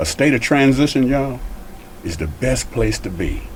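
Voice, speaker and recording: A man's moderate-speed speech comes through with audible room echo and noticeable background noise. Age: 70s. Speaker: guest, former probation officer and youth program writer. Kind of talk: casual chat.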